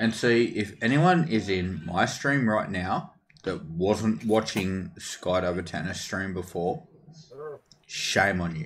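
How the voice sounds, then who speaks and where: With an Australian accent, a man speaks at a very slow pace in a fairly low voice. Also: ordinary pitch variation. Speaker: gaming streamer. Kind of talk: casual chat.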